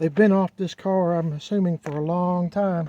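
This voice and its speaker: A man's high-pitched voice with a dark, mellow tone, fairly even intonation and a moderate pace. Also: dry, close sound with no echo. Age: 60s. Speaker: car enthusiast video host. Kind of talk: casual walkaround vlog. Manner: halting, with many fillers.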